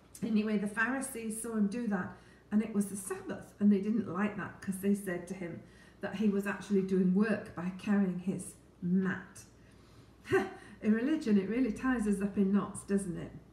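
The speech moves at a moderate pace with fairly even intonation and long, frequent pauses, with audible room echo. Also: woman. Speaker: Bible teacher. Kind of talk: Bible reading and teaching talk. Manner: warm, friendly. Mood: calm, earnest. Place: kitchen. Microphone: phone near.

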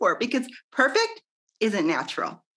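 An animated tone comes through in a Midwestern American accent against a quiet background. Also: woman. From US Midwest. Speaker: network marketer and business owner. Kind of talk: interview. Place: home room. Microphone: video call.

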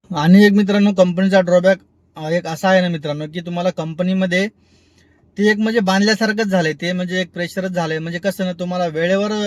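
A man talks at a high pitch in a monotone, flat intonation. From Vidarbha, Maharashtra (Washim district). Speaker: vlogger and ride-hailing driver. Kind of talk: casual vlog, answering viewer comments.

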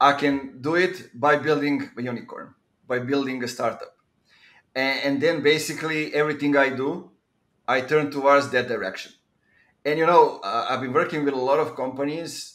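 In a quiet background, a man speaks at a moderate pace with fairly even intonation and a Serbian accent. He leaves long, frequent pauses. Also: fairly high pitch for a man. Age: 30s. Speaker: podcast host. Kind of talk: podcast interview. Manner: hesitant with frequent fillers. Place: home room. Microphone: video call.

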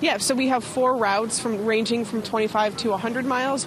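A woman speaks with a dry sound and no echo over noticeable background noise. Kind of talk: interview answer. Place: street. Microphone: handheld.

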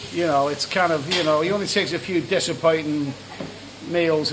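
There is noticeable background noise. A man talks through it. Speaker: travel vlogger. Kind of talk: casual vlog chat. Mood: enthusiastic. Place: cafe. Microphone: phone near.

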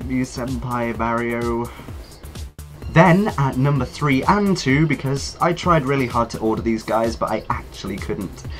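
Music plays in the background as a man talks at a fairly slow pace. He has a British accent and a medium pitch. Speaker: YouTuber. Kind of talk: casual talk to camera.

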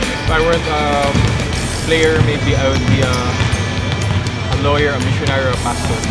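A man speaks at a fairly quick pace. Loud music plays in the background. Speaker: professional basketball player. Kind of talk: interview answer. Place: hall.

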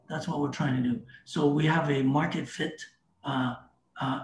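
A man with a fairly high voice speaks with fairly even intonation. There is audible room echo and light background noise. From Canada. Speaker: crypto startup representative; guest. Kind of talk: casual interview. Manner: halting with many repetitions.

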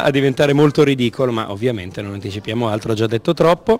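A man is speaking here. There is faint music in the background. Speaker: stage actor. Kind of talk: interview answer. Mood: playful, amused. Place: hall. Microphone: handheld.

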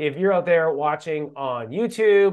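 A man's voice, the background quiet. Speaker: program host. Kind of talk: livestream host intro. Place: office.

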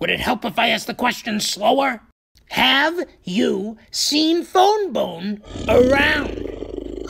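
A put-on character voice, high in pitch, very slow, with very wide pitch swings. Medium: dub. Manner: brash, impatient.

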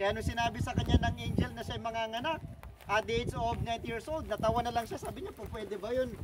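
Against noticeable background noise, a man with a high pitch speaks at a fairly quick pace. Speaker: tour guide. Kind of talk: guided tour talk on Bible story. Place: open country. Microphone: camera far.

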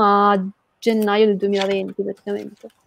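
A woman talks at a fairly slow pace in a dry recording with no echo. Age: 20s. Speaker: comic book artist; guest. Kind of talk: interview. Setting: live stream. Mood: relaxed, smiling. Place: home room. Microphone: earbuds.

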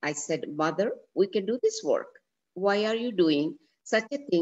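Plain reading aloud comes through with quiet surroundings.

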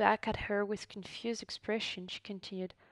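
Fairly even intonation in a natural reading voice

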